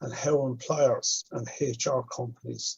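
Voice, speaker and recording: In an Irish accent, a man speaks at a very slow pace. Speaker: stuttering advocate. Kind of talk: Q&A contribution in online panel. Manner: stutters.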